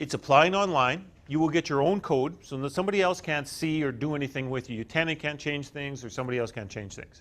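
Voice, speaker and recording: A man with a Canadian accent talks at a very fast pace with hardly any pauses against a quiet background. His pitch is fairly high, with ordinary variation. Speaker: utility company representative. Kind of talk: workshop presentation. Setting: workshop with live audience. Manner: halting.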